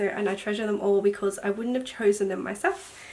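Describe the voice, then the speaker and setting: Fairly even in intonation, a woman speaks with an Australian accent. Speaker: sewing vlogger. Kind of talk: casual talk to camera.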